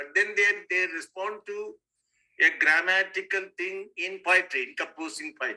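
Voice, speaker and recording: Projecting a raised voice, a man with a high pitch and a bright, sharp tone speaks at a moderate pace, with ordinary pitch variation and big swings in loudness. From Tamil Nadu, India. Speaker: student. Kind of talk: class discussion. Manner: insistent.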